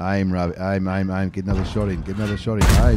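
An animated man with an Australian accent, very deep and low in pitch, at a fairly quick pace, with loud background noise and a dry sound with no echo. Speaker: video game YouTuber. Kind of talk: live sports-style commentary over game replays. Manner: animated, fast play-by-play delivery; informal, chatty, with fillers and repetition. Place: home room. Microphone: studio mic.

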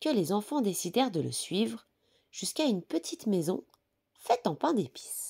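A calm, gentle tone comes through at a fairly slow pace on a very clean recording with a silent background. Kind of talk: bedtime story reading aloud. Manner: soft, calm, gentle storyteller pace; warm, affectionate tone toward young children.

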